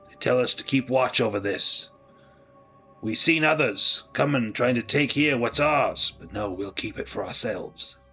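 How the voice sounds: Over faint music in the background, a man puts on a character voice at a medium pitch, bright and sharp in tone with a slightly husky edge, ordinary pitch variation and a fairly slow pace.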